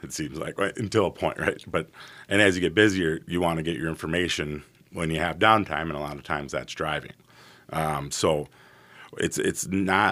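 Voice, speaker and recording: A man's very deep, low voice comes through on a very clean recording against a silent background. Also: ordinary pitch variation, moderate pace. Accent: American. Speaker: radio station owner. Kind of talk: casual interview.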